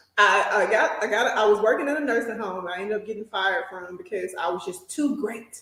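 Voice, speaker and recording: With a Southern US accent, a woman speaks at a fairly quick pace. Her tone is animated. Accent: country Southern. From US South, small town in south Mississippi. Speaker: nurse and journal entrepreneur. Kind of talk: casual interview chat, personal storytelling.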